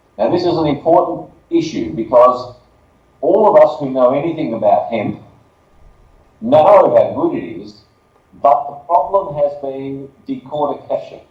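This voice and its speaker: A man speaks at a fairly slow pace with long, frequent pauses. His loudness swings widely, and room echo is audible. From Australia. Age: 60s. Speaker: business spokesperson. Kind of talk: conference presentation.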